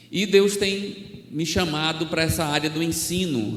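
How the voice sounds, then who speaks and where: A man with a northeastern Brazilian accent speaks at a fairly slow pace in a fairly high voice, with audible room echo and noticeable background noise. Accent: northeastern Brazilian (Alagoas). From Brazil, Alagoas (Maceió area). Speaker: missionary preacher. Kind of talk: sermon.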